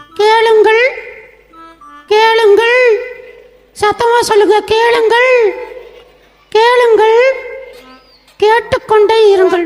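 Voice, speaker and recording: Over background music, a cartoonish character voice with an extremely high pitch speaks very slowly in a monotone, flat delivery. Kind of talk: children's puppet show.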